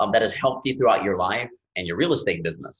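Using a plain, everyday voice, a man speaks at a medium pitch with ordinary pitch variation. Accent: American. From US South, Louisiana Gulf Coast. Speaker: podcast host. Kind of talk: interview.

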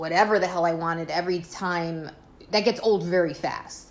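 A woman talks with an American accent, using an ordinary speaking voice at medium pitch. Her intonation is fairly even and her pace fairly quick. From US, the Bronx, New York. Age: 30s. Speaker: host's wife. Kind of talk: casual chat.

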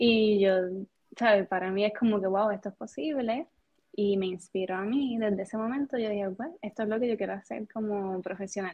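A woman speaks at a fairly quick pace in a medium pitch. Her pitch varies in an ordinary way. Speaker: music teacher. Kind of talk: interview conversation. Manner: calm, even-toned.

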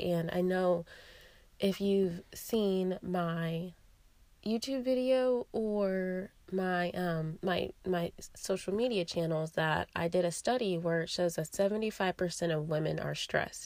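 A raspy woman's voice at a very slow pace with ordinary pitch variation. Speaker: podcast host, yoga teacher and wellness coach. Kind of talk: solo wellness podcast monologue.

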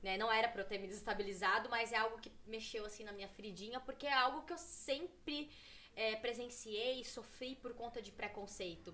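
Over noticeable background noise, a woman with a fairly high pitch speaks at a moderate pace with ordinary pitch variation and big swings in loudness. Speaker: women's football player. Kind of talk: casual chat.

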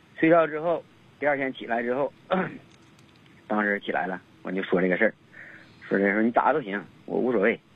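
Pitched at a medium level, a man talks at a fairly quick pace with lively intonation and long, frequent pauses. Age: 30s. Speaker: caller. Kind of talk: phone-in advice call. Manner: halting.

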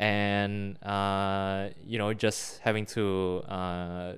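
A man with a fairly low pitch talks in fairly even intonation on a very clean recording with a silent background. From Singapore. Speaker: podcast co-host. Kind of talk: casual chat.

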